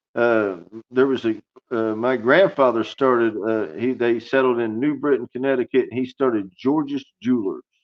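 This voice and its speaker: A man keeps a moderate pace, his medium-pitched voice showing ordinary pitch variation. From Southwest Florida, US. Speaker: entrepreneur, reality TV pitch contestant. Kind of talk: podcast interview.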